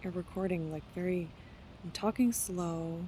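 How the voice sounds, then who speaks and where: A woman's fairly low, somewhat breathy voice with a dark, mellow tone, fairly even intonation and a moderate pace. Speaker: wellness vlogger. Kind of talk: casual vlog monologue. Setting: traveling, on retreat. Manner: halting, many restarts.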